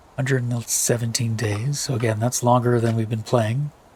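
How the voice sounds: A man speaks at a medium pitch with a slightly husky edge. His tone is slightly mellow and his intonation fairly even.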